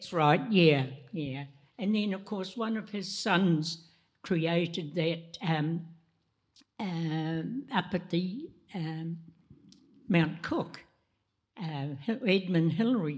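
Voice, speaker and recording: With long, frequent pauses, a woman with a New Zealand accent speaks very slowly in a fairly low pitch, showing ordinary pitch variation. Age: 90s. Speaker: panelist at art gallery anniversary talk. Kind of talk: panel discussion. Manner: halting.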